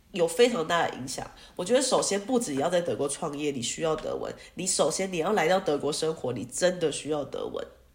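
At a fairly quick pace, a woman with a fairly low pitch and lively intonation talks in an unremarkable speaking voice. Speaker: music teacher and entrepreneur. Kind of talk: casual interview.

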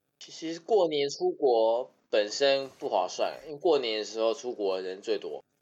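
A man talks at a fairly slow pace with hardly any pauses. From Taiwan, Taipei. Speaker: podcast guest. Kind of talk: casual chat.

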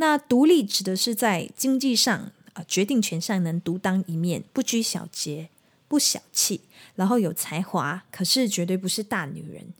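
Speaking fairly slowly with lively intonation, a woman at medium pitch sounds somewhat breathy on a very clean recording with a silent background. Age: 30s. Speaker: singer and podcast host. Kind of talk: solo podcast monologue. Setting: at home.

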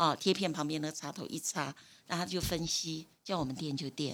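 A woman speaks at a fairly quick pace in a very deep, low pitch. Her pitch variation is ordinary, and the recording is very clean with a silent background. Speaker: retired nursing supervisor. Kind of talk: interview.

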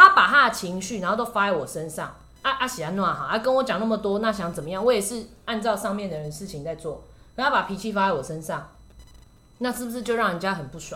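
Speaking very fast in a Taiwanese accent, a woman uses a medium pitch, lively intonation and an animated tone, with big swings in loudness, audible room echo and music playing behind her. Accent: Taiwanese Mandarin. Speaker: podcast host and shopping channel presenter. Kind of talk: casual chat.

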